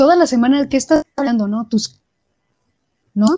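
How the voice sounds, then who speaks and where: A woman with a Mexican accent and a dark, mellow tone is heard in a dry, close sound with no echo. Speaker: podcast co-host. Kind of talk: casual chat.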